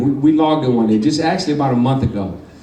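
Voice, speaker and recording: Over noticeable background noise and audible room echo, a man speaks at medium pitch with ordinary pitch variation. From Michigan. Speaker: former pro boxer. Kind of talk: award acceptance speech.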